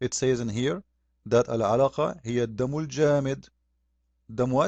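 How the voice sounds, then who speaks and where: A man at a medium pitch, with ordinary pitch variation and a fairly slow pace. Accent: Arabic. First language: Arabic. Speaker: religious critic. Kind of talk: polemical video commentary. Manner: animated.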